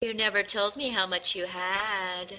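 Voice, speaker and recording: This is a put-on character voice. It moves at a moderate pace with fairly even intonation. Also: man, high pitch for a man. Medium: actual play. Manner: coy, flirtatious.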